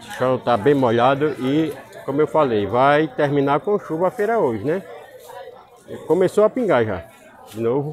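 Crowd noise fills the background of this dry, echo-free recording as a man talks at a moderate pace with lively intonation and long, frequent pauses. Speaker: market vlogger. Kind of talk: casual vlog chat. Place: market. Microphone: phone near.

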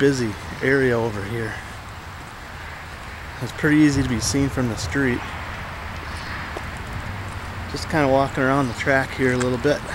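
Noticeable background noise surrounds a man speaking at a fairly quick pace, the sound dry with no echo. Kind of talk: casual vlog chat. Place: open country. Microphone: phone near.

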